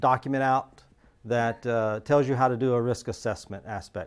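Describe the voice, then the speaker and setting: At a moderate pace, a man talks at medium pitch with fairly even intonation. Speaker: security engineer. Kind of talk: lecture. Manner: halting, many fillers.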